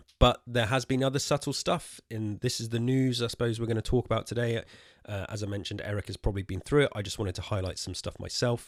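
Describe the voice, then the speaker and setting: A man talks at a very fast pace in a medium pitch with fairly even intonation. The sound is dry and close with no echo, on a very clean recording with a silent background. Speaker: gaming podcast host. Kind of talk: casual podcast discussion. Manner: trembling voice.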